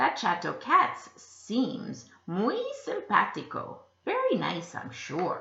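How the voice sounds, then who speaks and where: Someone uses a put-on character voice at a very slow pace, with a slight echo. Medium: read story.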